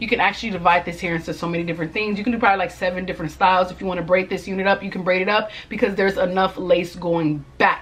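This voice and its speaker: Amid noticeable background noise, a woman rattles along at a very fast pace with hardly any pauses. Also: medium pitch for a woman. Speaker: beauty vlogger. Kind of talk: product review. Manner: animated.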